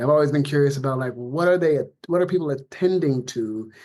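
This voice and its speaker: This man has a fairly high pitch. He talks at a fairly quick pace with ordinary pitch variation. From US West Coast, Compton, California. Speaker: anthropology professor, sociolinguist. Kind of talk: podcast interview.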